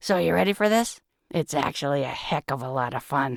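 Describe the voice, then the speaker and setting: A put-on character voice sits at a low-to-middle pitch. It swings very widely in pitch. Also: fairly quick pace. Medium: read story. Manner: relaxed, folksy.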